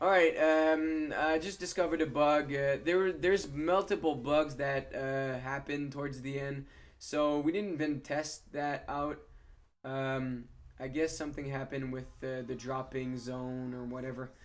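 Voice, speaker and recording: The speaker is a man with a fairly high pitch. His intonation stays fairly even. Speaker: gaming youtuber. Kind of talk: gameplay commentary. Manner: fast.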